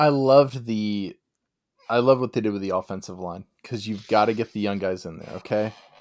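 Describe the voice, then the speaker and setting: A man with a plain, everyday voice speaks at a fairly quick pace and fairly low pitch, with ordinary pitch variation and big swings in loudness, on a very clean recording with a silent background. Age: 40s. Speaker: sports podcast co-host. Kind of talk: casual chat.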